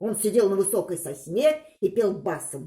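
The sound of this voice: Medium pitch, lively intonation and a moderate pace from a woman whose dark, mellow tone carries a husky, rough edge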